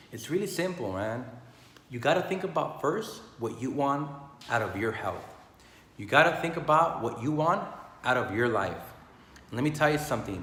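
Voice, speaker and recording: A man's fairly high, lively voice at a moderate pace, with long, frequent pauses and noticeable background noise. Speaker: health and business motivational speaker. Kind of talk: casual motivational talk to camera. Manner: passionate, energetic.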